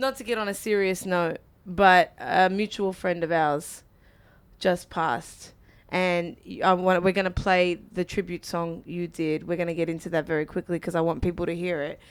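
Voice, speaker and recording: On a very clean recording with a silent background, a woman at a fairly low pitch speaks at a moderate pace with fairly even intonation. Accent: Australian. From Australia. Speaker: radio host. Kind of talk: interview.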